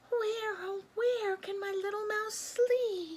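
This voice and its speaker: In a put-on character voice, a woman speaks very slowly at an extremely high, squeaky pitch with fairly even intonation. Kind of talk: bedtime story voice. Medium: read story. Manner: soft, tender.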